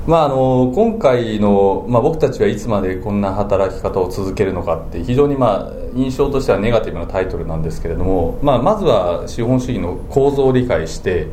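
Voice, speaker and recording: Speech at a fairly quick pace with hardly any pauses comes through with audible room echo and noticeable background noise. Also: man. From Japan, Chiba (Funabashi). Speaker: business book author. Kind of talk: interview conversation. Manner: many fillers, hesitant.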